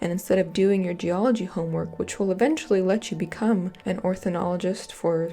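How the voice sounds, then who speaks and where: A woman speaks at a moderate pace and medium pitch with ordinary pitch variation. Music plays in the background. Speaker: college student. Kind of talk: video essay narration.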